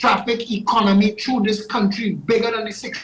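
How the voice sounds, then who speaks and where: A man speaks with a Trinidadian accent in a high voice. His intonation stays monotone and flat, with noticeable background noise. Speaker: political candidate. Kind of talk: political pitch on talk show.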